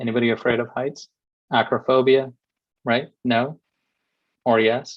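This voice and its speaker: A man with a Kerala accent, medium in pitch, at a fairly slow pace. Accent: Malayali. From India, Kerala. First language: Malayalam. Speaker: invited lecturer on cloud computing. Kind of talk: webinar lecture. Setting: online webinar. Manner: frequent fillers, conversational.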